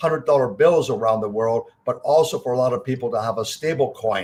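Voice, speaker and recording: The somewhat breathy voice moves at a moderate pace with ordinary pitch variation. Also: man. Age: 70s. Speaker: investment fund CEO. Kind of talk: interview.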